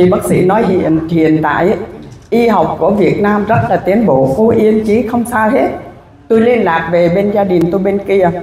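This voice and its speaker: At a fairly slow pace and with very even loudness, a woman speaks amid light background noise and audible room echo. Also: medium pitch for a woman, ordinary pitch variation. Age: 60s. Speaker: cancer patient. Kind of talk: testimony. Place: hall. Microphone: handheld.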